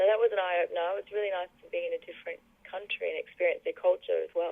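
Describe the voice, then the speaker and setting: A woman talks at a very fast pace. Her loudness swings widely. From Australia. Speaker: singer and songwriter. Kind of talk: radio interview.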